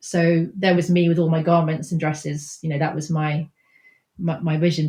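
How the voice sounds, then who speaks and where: At a fairly quick pace, a woman speaks in a fairly low pitch with a dark, mellow tone and a somewhat breathy quality. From England, raised abroad (Venezuela, Nigeria, Japan). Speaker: textile artist. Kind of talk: interview conversation. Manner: halting, many false starts.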